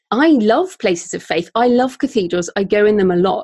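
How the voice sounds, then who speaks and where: A woman with a British accent in a dry, close sound with no echo. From UK. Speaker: author and podcaster. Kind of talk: interview, with reading aloud from her novel.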